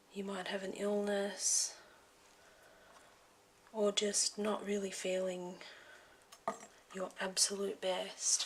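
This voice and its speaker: A soft-spoken woman whispers at a very slow pace with long, frequent pauses over noticeable background noise. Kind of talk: ASMR health motivation talk. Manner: soft-spoken, whispered.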